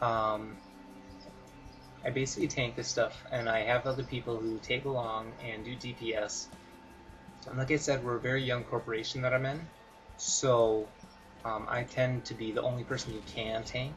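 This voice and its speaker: A man mumbles at a moderate pace and a medium pitch, with monotone, flat intonation and long, frequent pauses. Music plays in the background. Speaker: gaming video creator. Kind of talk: gameplay tutorial commentary. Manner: mumbling; halting, many fillers.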